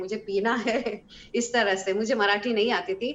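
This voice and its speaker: A woman with a Hebrew accent speaks in a bright, sharp tone. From Israel. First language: Hebrew (speaking Hindi). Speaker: singer. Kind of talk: interview. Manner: halting.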